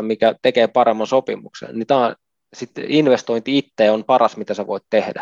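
A man with medium pitch and fairly even intonation at a moderate pace, in a dry, close sound with no echo against a quiet background. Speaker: retired ice hockey player. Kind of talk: interview. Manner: halting.

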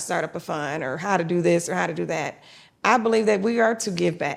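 A woman at medium pitch speaks at a fairly quick pace with very wide pitch swings and vocal fry. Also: very clean recording, silent background. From Detroit, Michigan. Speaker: investor and fund founder. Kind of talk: casual interview.

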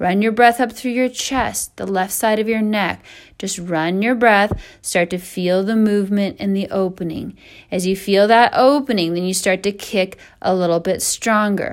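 A woman's normal speaking voice, with fairly even intonation, at a moderate pace. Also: medium pitch for a woman. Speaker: yoga instructor. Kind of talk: guided hot yoga class cueing poses and breath. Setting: recorded online class at home, away from studio. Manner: calm, steady breath-paced instructional cueing; warm, encouraging.

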